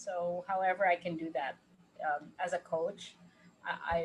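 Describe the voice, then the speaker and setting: A woman talks at a fairly slow pace in a fairly low, somewhat breathy voice with fairly even intonation. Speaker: life coach. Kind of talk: casual chat.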